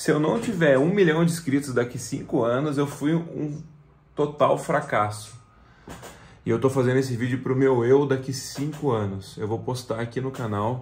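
This man speaks at a moderate pace and medium pitch, somewhat breathy, with ordinary pitch variation. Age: 30s. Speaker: YouTuber. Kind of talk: video message to his future self. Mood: earnest, slightly emotional. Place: home room. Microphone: phone near.

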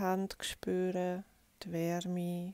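A soft-spoken woman with a calm tone, dry sound with no echo, and music in the background. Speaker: yoga teacher. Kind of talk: guided yoga instruction. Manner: soft-spoken, calm. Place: home room.

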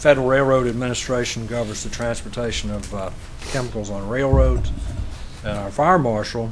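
There is noticeable background noise behind a man. He speaks at medium pitch with ordinary pitch variation. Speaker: county official. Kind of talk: public meeting report. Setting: county commissioners meeting room.

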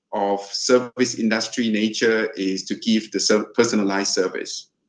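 A man with a Thai accent, fairly slow pace and fairly even intonation. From Thailand. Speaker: hotel general manager; speaker. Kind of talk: webinar panel discussion. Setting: video call. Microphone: video call.

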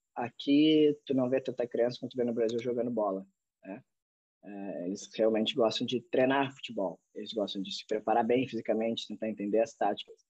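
At a moderate pace and with fairly even intonation, the voice sounds dry with no echo against a quiet background. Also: man. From Brazil. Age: 30s. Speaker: professional footballer; podcast guest. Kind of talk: interview. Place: home room. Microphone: video call.

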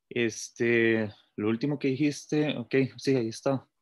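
Recorded dry and close with no echo, a man speaks at a medium pitch in a flat, monotone delivery. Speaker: philosophy academic in the discussion. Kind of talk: academic discussion.

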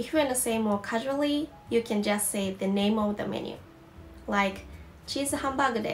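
Fairly quick speech with ordinary pitch variation over faint background music. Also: woman. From Osaka, Japan. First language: Japanese. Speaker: Japanese language teacher. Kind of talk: language lesson to camera. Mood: calm and friendly.

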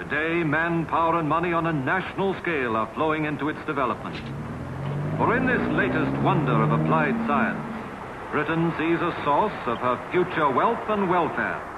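Against noticeable background noise, a man talks at a moderate pace with a fairly high pitch, ordinary pitch variation and very even loudness. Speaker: documentary narrator. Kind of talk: history documentary narration, measured and authoritative scripted delivery. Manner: formal, steady, even-paced.

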